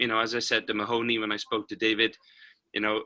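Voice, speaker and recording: A bright, sharp voice in a Welsh accent, on a very clean recording with a silent background. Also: man. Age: 50s. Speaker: paralympic cyclist and motivational speaker. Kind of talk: interview.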